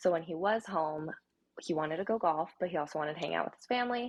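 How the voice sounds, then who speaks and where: A woman's very fast speech, fairly low in pitch, with ordinary pitch variation. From Japan, Tokyo, then moved to USA at eight. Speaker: golfer and social media personality. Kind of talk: casual chat.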